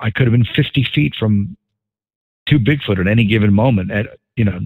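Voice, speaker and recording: Speech comes at a fairly quick pace in a New York accent. Pitch variation is ordinary. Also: man. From New York City suburbs. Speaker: podcast host. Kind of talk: casual chat.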